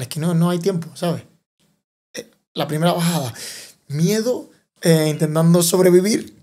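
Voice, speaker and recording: Speaking at a moderate pace, a man has a dark, mellow tone with ordinary pitch variation. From Tenerife, Canary Islands, Spain. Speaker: enduro and downhill mountain bike racer. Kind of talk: interview answer. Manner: cheerful, with contagious laughter.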